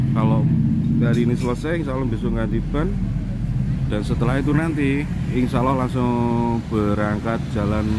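A man speaks fairly quickly, the sound dry with no echo, while loud background noise plays. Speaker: bus enthusiast vlogger. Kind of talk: casual vlog commentary. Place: street. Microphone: phone near.

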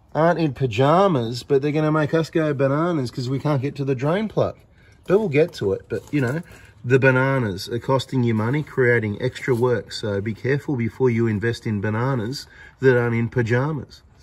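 With a somewhat breathy voice, a man talks at a fairly quick pace, his pitch varying in an ordinary way. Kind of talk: casual commentary. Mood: joking, mildly annoyed. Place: workshop. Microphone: phone near.

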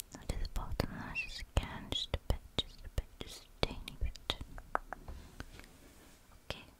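A woman is whispering. She goes at a very slow pace. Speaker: ASMR creator. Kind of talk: ASMR personal attention roleplay. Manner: whispered. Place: home room. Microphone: studio mic.

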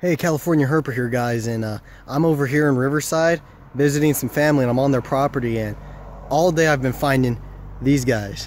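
Speaking at a fairly quick pace, a man keeps a fairly even intonation. The sound is dry with no echo, over light background noise. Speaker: nature vlogger. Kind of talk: casual vlog chat. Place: garden. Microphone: phone near.

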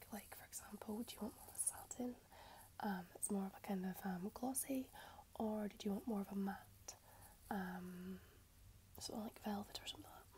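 A soft-spoken woman with a gentle, dark, mellow tone, somewhat breathy, at a fairly quick pace with fairly even intonation over light background noise. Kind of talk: role-play consultation talk. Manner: soft-spoken, gentle ASMR voice. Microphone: earbuds.

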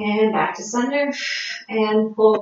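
A woman's fairly even intonation carries through strong room echo. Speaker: fitness instructor. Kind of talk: exercise class cueing. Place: home room. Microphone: camera far.

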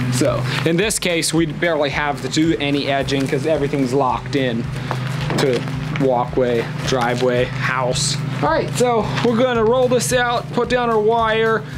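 A man speaks at a moderate pace with music playing in the background. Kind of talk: tutorial. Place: street.

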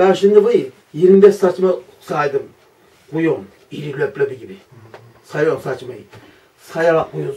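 A man at a fairly slow pace, with long, frequent pauses and big swings in loudness. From Kastamonu, Turkey. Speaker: hunter. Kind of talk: storytelling among friends. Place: home room. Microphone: camera far.

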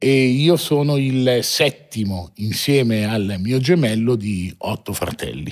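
A man speaking at a very slow pace with lively intonation, hardly any pauses, and a quiet background. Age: 40s. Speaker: watch dealer, entrepreneur; podcast guest. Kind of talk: interview, life story. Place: studio. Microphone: studio mic.

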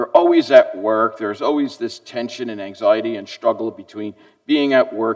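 A man is speaking. Behind him the background is quiet. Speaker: pastor. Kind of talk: sermon. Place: church.

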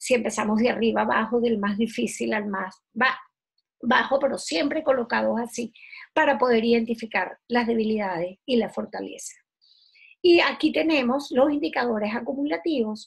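At a moderate pace, a woman speaks in a fairly high pitch with vocal fry, a slightly husky edge and ordinary pitch variation.

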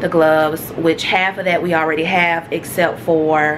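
A woman takes a fairly slow pace while noticeable background noise continues around her. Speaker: travel vlogger. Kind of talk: casual vlog chat. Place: home room. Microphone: phone near.

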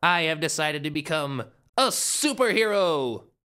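At a moderate pace, a man does a cartoonish character voice with fairly high pitch on a very clean recording with a silent background. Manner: energetic, grandiose.

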